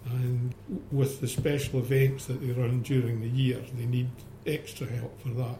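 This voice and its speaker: In a flat monotone, a man speaks at a medium pitch and a moderate pace. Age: 70s. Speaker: museum volunteer. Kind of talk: interview.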